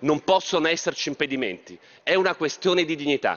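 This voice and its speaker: The speaker talks at a very fast pace with ordinary pitch variation. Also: man. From Trieste, north-east Italy; Italy. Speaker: politician. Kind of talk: parliamentary speech. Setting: parliament chamber. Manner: formal. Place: hall. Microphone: podium.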